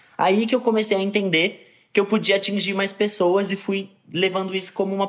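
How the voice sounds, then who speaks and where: This man's voice sits at a high pitch and moves at a moderate pace. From Brazil, São Paulo. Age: 20s. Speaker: actor and content creator. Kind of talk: interview.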